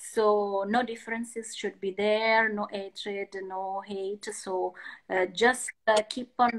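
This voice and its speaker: Speaking very slowly with an Italian accent, a woman holds a flat, monotone intonation at a fairly high pitch. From Italy. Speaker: artist. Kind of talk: interview. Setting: Instagram live video call. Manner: halting.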